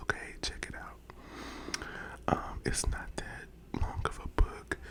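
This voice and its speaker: Someone whispers over noticeable background noise. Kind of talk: casual talk to camera, book recommendations ramble. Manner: casual, conversational, chatty.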